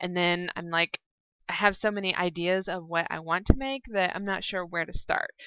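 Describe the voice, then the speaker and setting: A plain, everyday voice at a moderate pace, with fairly even intonation. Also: woman, medium pitch for a woman. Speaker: podcast host. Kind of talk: casual chat. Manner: chatty.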